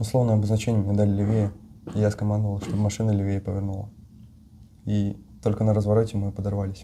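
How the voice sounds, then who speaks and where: Talking at a very fast pace yet with long, frequent pauses, a man with a fairly low, somewhat breathy voice and a dark, mellow tone keeps his intonation monotone and flat. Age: young. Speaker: captured soldier, armored vehicle commander. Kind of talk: interview answer.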